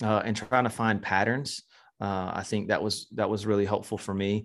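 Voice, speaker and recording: A man with an ordinary speaking voice and an American accent talks at a fairly quick pace and a medium pitch over a quiet background. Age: 40s. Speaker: church consultant. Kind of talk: interview conversation.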